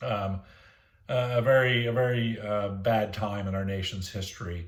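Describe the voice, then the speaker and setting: This man's fairly low voice comes out somewhat breathy, with fairly even intonation and audible room echo. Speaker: teacher. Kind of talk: lecture. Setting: recorded lesson for online classroom. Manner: hesitant, many fillers.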